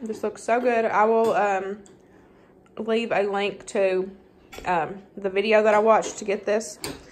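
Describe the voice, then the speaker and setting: Over light background noise, a woman talks at a fairly slow pace with monotone, flat intonation. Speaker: home cook vlogger. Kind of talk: casual vlog chat. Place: kitchen. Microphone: phone near.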